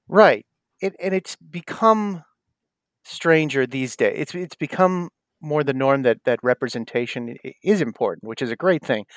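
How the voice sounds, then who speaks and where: A man with an American accent uses an unremarkable speaking voice at a fairly high pitch, with lively intonation and a moderate pace. The recording is very clean, with a silent background and a dry, close sound with no echo. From US Northeast, South Shore of Massachusetts. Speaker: actor and comedian. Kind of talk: interview.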